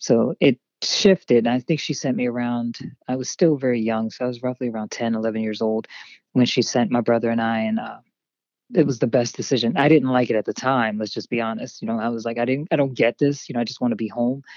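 A woman with a Pennsylvania accent speaks fairly quickly in a very deep, low voice, recorded dry and close with no echo. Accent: general American, Pennsylvania. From Harrisburg, Pennsylvania. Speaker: actress and model. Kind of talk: casual interview chat. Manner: animated, playful.

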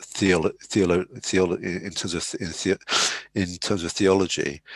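The voice is monotone and flat at a moderate pace, recorded with a dry, close sound, no echo and a quiet background. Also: man. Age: 50s. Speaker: school leader. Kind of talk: interview. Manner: halting.

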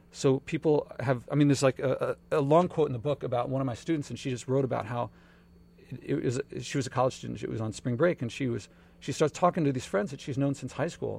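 With an American accent, a man speaks at a very fast pace in a medium pitch, using ordinary pitch variation and vocal fry. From Philadelphia, US. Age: 40s. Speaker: author and entrepreneur. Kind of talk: casual interview.

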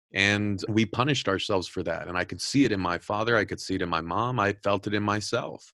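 A man with a Californian accent, very fast in pace and bright and sharp in tone, with ordinary pitch variation against a quiet background. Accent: Californian American English. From Southern California. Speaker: podcast host and editor-in-chief. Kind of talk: interview. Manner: repetitive, filler-heavy.

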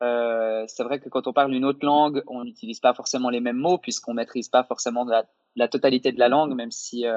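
Monotone, flat intonation at a fairly quick pace. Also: man. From French-speaking Switzerland. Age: 20s. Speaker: YouTuber and actor. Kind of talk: interview.

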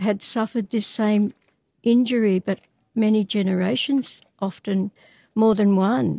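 A woman with an Australian accent speaks at a fairly slow pace and a fairly high pitch. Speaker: activist. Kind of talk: interview.

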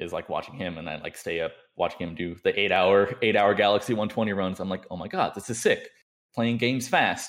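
The recording is very clean, with a silent background. A man with a fairly low voice talks at a fairly quick pace, with ordinary pitch variation. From Southern California. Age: 20s. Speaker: speedrunner and streamer. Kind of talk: casual interview chat.

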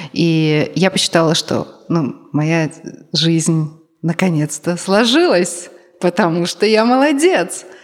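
A woman speaks very slowly, leaving long, frequent pauses. Her loudness stays very even, and her fairly low pitch shows ordinary variation. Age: 30s. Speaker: podcast co-host. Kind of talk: live podcast talk. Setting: stage with audience.

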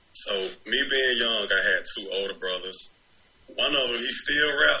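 A man's voice comes through with audible room echo over noticeable background noise. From Decatur, Georgia (Atlanta area). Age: 20s. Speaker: rapper. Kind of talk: casual interview. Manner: animated.

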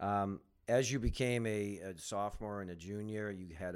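This man has an unremarkable speaking voice, pitched fairly low with fairly even intonation. The recording is very clean, with a silent background. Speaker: podcast host. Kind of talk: interview podcast conversation.

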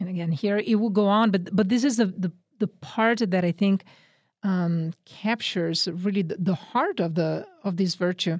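In a Northern Italian accent, a woman at medium pitch speaks in a dry, close sound with no echo. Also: ordinary pitch variation, moderate pace. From Northern Italy. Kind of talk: radio interview on spiritual teaching. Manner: animated.

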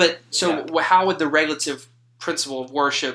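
Moderate-paced speech from a man, fairly high in pitch and with ordinary variation. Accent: Louisiana. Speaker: podcast host, seminary student. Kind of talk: casual chat.

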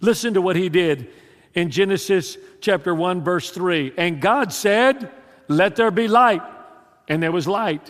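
Animated in tone, a man speaks with a Louisiana accent. His voice is pitched high. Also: ordinary pitch variation, fairly slow pace. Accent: Southern US (Louisiana). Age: 60s. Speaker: pastor. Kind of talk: sermon. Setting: church.

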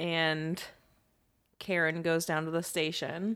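A woman's bright, sharp tone at fairly low pitch, monotone and flat, fairly slow, on a very clean recording with a silent background. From Louisiana. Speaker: podcast co-host. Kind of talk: casual chat.

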